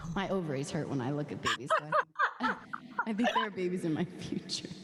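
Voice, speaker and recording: A woman talking very fast with lively intonation over noticeable background noise. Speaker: singer-songwriter. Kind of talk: casual chat. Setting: livestream.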